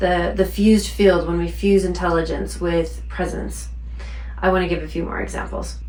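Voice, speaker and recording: Noticeable background noise is present. A woman talks at a moderate pace over it. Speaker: spiritual teacher, intuitive practitioner. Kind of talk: spiritual talk to camera. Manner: unpolished, stumbling.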